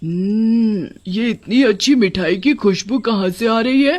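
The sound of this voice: A cartoonish character voice, fairly high in pitch and fairly slow in pace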